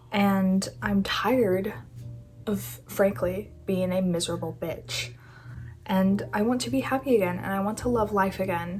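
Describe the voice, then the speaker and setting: A soft-spoken woman at a medium pitch and fairly slow pace, with lively intonation, audible room echo and music in the background. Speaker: youtuber, artist. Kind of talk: casual vlog chat. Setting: home room, not ideal setting.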